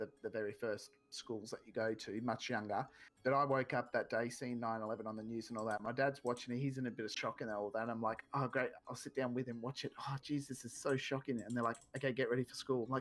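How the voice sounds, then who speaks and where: With an Australian accent, a man rattles along at a very fast pace with hardly any pauses, at a medium pitch and in monotone, flat intonation. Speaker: gaming streamer. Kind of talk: casual chat.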